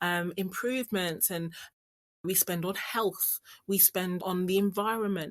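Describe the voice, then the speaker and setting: London accent at a fairly slow pace. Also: woman. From London, England. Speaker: business strategist and financial coach. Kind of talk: podcast interview.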